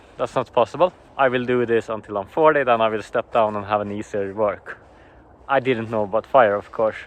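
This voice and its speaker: In a Swedish accent, a man talks at a medium pitch. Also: ordinary pitch variation, fairly quick pace. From Sweden. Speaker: early retiree husband. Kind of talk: casual interview.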